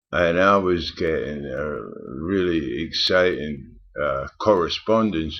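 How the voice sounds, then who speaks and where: In a Scottish accent, a man speaks with a very deep, low voice and ordinary pitch variation. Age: 60s. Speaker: vlogger. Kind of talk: personal storytelling. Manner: halting.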